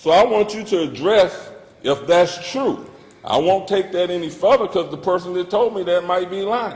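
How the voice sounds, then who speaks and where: A loud, high-pitched male voice. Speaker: public commenter at council meeting. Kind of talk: public comment speech. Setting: city council chamber.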